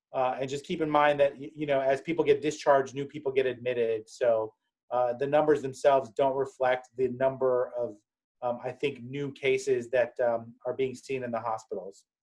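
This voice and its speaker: Monotone, flat intonation from a man at medium pitch. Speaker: public health officer. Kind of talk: briefing to medical providers. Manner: fast; many fillers and restarts.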